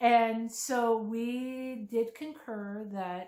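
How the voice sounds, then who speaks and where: With an American accent, a woman's fairly high voice carries a dark, mellow tone and fairly even intonation. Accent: Pennsylvania accent, noticed by outsiders. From Pennsylvania. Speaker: author. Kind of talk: casual chat.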